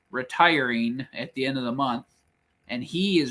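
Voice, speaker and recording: The voice is a man's, at a medium pitch with ordinary pitch variation. He talks at a fairly slow pace. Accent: Upper Midwest. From Michigan. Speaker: YouTube channel co-host. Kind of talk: casual livestream chat. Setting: off-grid cabin livestream.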